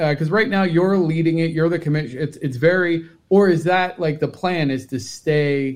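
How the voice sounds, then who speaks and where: A man with an American accent speaks in a normal speaking voice at a moderate pace, his fairly high pitch showing ordinary variation. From Cincinnati, US. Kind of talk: casual livestream chat.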